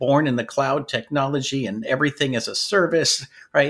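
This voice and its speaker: A man with an American accent talks in a normal speaking voice, fairly high in pitch. His pace is moderate and his intonation fairly even. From US, North Dakota and Washington State. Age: 60s. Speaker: IT business owner and author. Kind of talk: interview.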